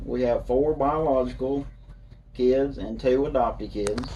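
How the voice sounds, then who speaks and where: Speaking very slowly, a man has a Kentucky accent. Audible room echo and noticeable background noise surround him. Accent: southern US, Kentucky. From Kentucky, Monroe County. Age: 40s. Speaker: political candidate. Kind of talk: interview. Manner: halting, many fillers.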